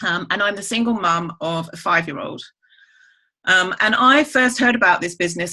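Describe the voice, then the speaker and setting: This woman speaks with an English accent at a medium pitch. Her pace is fairly quick, and her pitch varies an ordinary amount. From England. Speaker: network marketer. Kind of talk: testimony.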